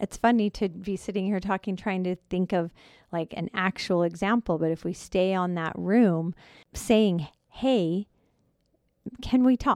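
A woman speaks in a normal speaking voice at a fairly slow pace, medium in pitch with ordinary pitch variation, on a very clean recording with a silent background and a dry, close sound with no echo. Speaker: counselor co-host. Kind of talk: casual conversation about counseling.

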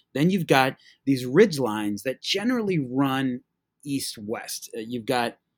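A man talks at a fairly slow pace. The recording is very clean with a silent background and a dry, close sound with no echo. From Massachusetts. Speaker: high school teacher and history podcaster. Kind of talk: history talk. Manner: halting, many fillers and repeats.

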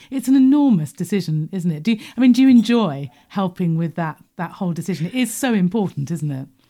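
A woman's medium-pitched, somewhat breathy voice at a very fast pace, with very wide pitch swings. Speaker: podcast host. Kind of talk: casual interview chat.

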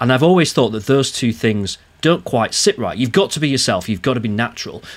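A man with an unremarkable speaking voice talks at medium pitch with lively intonation. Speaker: podcast host and consultant. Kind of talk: casual chat.

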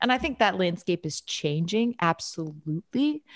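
A woman with an American accent and a medium pitch, a plain, everyday voice, ordinary pitch variation and a moderate pace, on a very clean recording with a silent background and a dry, close sound with no echo. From New York. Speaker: comedy writer and actress. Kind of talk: casual interview chat.

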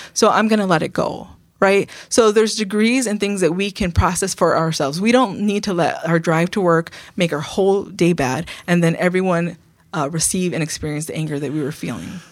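A woman speaks in a normal speaking voice at a fairly quick pace and a fairly low pitch with ordinary pitch variation, on a very clean recording with a silent background. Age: 50s. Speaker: pastor and program author. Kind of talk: casual chat.

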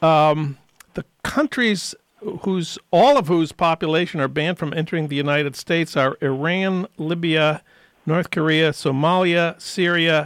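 In a very clean recording with a silent background, a man with an American accent has an unremarkable speaking voice, fairly high in pitch, with fairly even intonation at a fairly slow pace. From US Midwest, St. Paul, Minnesota. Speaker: radio host. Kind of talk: radio interview. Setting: radio studio.

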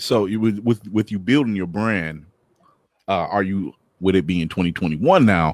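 On a very clean recording with a silent background, a man with a plain, everyday voice speaks at a fairly slow pace, fairly low in pitch and with ordinary pitch variation. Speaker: co-host. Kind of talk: casual chat.

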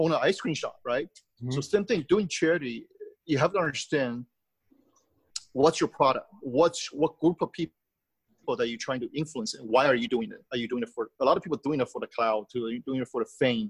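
With long, frequent pauses and big swings in loudness, a man with a Taiwanese accent talks at a fairly quick pace and a fairly high pitch, the sound dry and close with no echo. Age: 50s. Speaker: charity group founder, businessman. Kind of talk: interview answers, personal storytelling.

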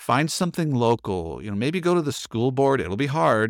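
An unremarkable speaking voice at a fairly quick pace, on a very clean recording with a silent background. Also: man. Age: 50s. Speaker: pastor and author. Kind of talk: casual chat.

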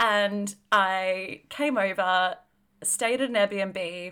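A woman's bright, sharp, medium-pitched voice in a very clean recording against a silent background. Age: 30s. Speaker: podcast co-host. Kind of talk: casual chat.

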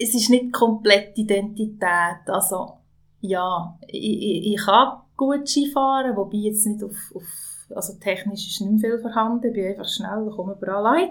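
At a fairly slow pace, this ordinary speaking voice shows ordinary pitch variation and big swings in loudness in a very clean recording with a silent background. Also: woman. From Swiss mountain valley (Valais). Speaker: podcast host and label founder. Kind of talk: casual conversation.

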